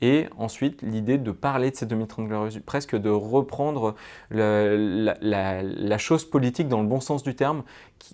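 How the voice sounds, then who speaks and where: Recorded very cleanly against a silent background, a man speaks at a medium pitch with a dark, mellow tone, ordinary pitch variation and big swings in loudness. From France, Grenoble area. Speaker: author and podcaster. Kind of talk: interview. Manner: fast; animated.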